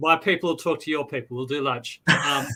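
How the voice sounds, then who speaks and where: A man with an Australian accent speaks in a bright, sharp tone with ordinary pitch variation. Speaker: novelist. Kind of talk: casual chat.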